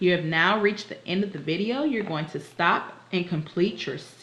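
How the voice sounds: Natural reading, pitch varying in an ordinary way.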